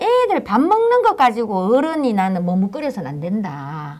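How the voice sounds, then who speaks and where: A woman with a strong Daegu accent speaks at a fairly high pitch and a fairly slow pace. Her pitch swings very widely. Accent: strong Daegu Gyeongsang dialect. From South Korea, Daegu. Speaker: local politician, former city council chair. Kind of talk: panel talk show discussion. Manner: halting, with many fillers.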